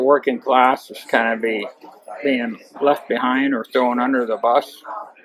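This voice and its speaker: A man with a Midwestern US accent at a medium pitch and a fairly slow pace, with noticeable background noise. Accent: US Midwest. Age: 60s. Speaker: farmer and political delegate. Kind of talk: interview.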